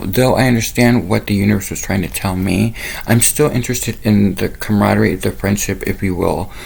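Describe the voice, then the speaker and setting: A man's fairly low voice at a very fast pace, hardly any pauses, and noticeable background noise. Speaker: spiritual channel host. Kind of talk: monologue to camera. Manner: rambling, casual.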